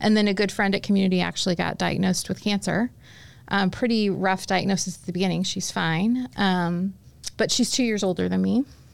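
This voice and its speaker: Fairly quick and with fairly even intonation, a woman speaks in a normal speaking voice at medium pitch, with an American accent. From Indianapolis, Indiana, US Midwest. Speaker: leadership consultant. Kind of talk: casual chat.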